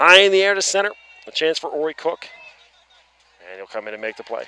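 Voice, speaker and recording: A man with an Atlantic Canadian accent speaks with very wide pitch swings over noticeable background noise. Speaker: baseball play-by-play commentator. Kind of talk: live sports commentary.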